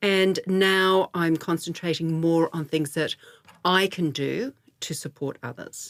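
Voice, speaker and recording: Speaking at a very slow pace, a woman with an Australian accent has a fairly low pitch and ordinary pitch variation. The recording is very clean, with a silent background. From Australia, Melbourne. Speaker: guest on a women's midlife podcast. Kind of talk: interview conversation.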